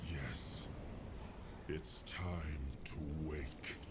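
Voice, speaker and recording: A man whispers in a put-on character voice. Loud background noise surrounds him. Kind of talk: epic fantasy game voice acting. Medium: game stream. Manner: stately, measured.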